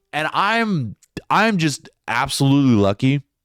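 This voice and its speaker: Over music in the background, a man's voice makes very wide pitch swings in a dry, close sound with no echo. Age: 20s. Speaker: stand-up comedian and podcast host. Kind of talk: casual monologue. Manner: casual, profane, rambling delivery.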